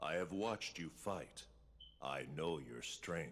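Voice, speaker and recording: Put-on character voice from a man, very deep and low, with lively intonation, a fairly slow pace and clear background noise. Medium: video game. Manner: smooth, menacing.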